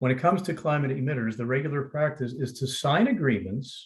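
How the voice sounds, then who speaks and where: A somewhat breathy man with an American accent and a fairly high pitch talks at a moderate pace. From United States. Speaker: legal scholar, former trial lawyer. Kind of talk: panel talk in webinar.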